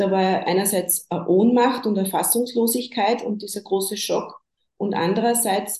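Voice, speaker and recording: A woman's fairly high voice carries a dark, mellow tone and sounds somewhat breathy. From Upper Austria. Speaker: bereaved mother, counsellor in training. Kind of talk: interview about grief.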